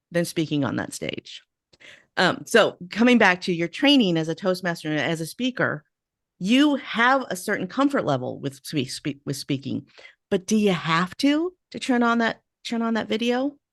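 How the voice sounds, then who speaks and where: With an American accent, a woman speaks at medium pitch with very wide pitch swings. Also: quiet background. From US West Coast. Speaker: podcast host. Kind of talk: interview. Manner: fast.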